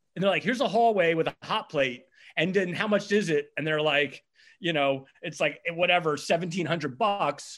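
Against a quiet background, a man with an American accent speaks at a moderate pace. His voice is high for a man, with lively intonation. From US, eastern shore of Virginia. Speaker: quiz host and bar owner. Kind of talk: casual chat. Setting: video call.

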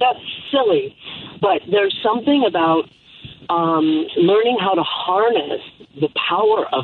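A woman talks at a moderate pace with very wide pitch swings over noticeable background noise. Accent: American. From Chicago. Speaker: breathwork and wellness coach. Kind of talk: phone interview. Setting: phone call.

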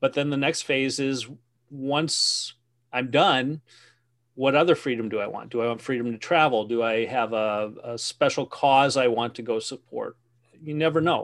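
A man with a plain, everyday voice talks at a moderate pace. His pitch is medium, with ordinary pitch variation. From Wisconsin. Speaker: business coach and author. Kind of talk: interview conversation.

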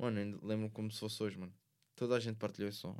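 With fairly even intonation, a man talks at a fairly low pitch. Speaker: rapper. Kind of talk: casual chat.

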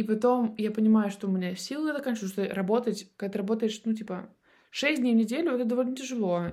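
With an animated tone and ordinary pitch variation, a woman speaks on a very clean recording with a silent background. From Russian Far East, Vladivostok. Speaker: chef and food project manager. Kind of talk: casual interview chat.

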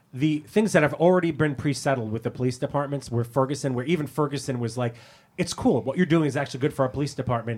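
A man talks at a very fast pace in an American accent, his voice somewhat breathy. His pitch is fairly high, with ordinary pitch variation. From US, Brooklyn, New York. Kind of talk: casual chat.

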